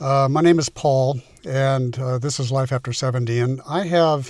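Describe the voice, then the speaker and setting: His intonation stays fairly even at a medium pitch. There is some breathiness in the man's voice. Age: 70s. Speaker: vlogger. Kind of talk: casual vlog monologue. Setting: in a car, then outdoors on a walk. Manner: halting, many fillers.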